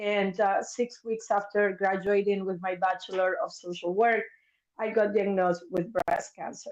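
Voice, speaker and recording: This woman's intonation is fairly even. She talks with a Spanish accent. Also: medium pitch for a woman, moderate pace. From Argentina, Buenos Aires. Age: 50s. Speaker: mental health therapist. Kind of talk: interview testimony.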